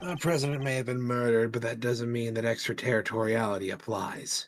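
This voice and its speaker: A man's put-on character voice at medium pitch, fairly quick pace, light background noise. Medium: game stream. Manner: blunt, self-assured.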